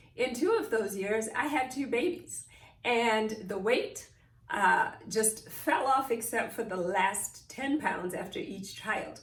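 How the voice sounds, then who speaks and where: In a Zimbabwean accent, a woman with a fairly high pitch and lively intonation speaks at a very slow pace, with audible room echo. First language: Shona. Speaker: mindfulness teacher. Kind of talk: personal talk to camera.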